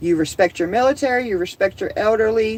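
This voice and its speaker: The woman speaks with an American accent and lively intonation. Her pace is moderate. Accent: occasional Southern. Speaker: homesteading livestreamer. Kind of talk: casual livestream chat. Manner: animated.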